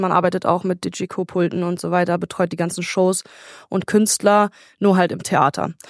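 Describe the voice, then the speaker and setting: This is an ordinary speaking voice, a woman's at medium pitch, talking at a fairly quick pace with fairly even intonation. The sound is dry and close, with no echo. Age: 20s. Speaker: technical supervisor on a cruise ship. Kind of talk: remote interview. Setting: remote call from a ship.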